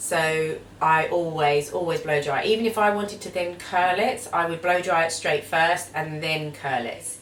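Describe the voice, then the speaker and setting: With an Essex accent, a woman talks at a moderate pace in a fairly low voice and fairly even intonation, over noticeable background noise and audible room echo. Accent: Essex twang. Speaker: beauty vlogger. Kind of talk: tutorial.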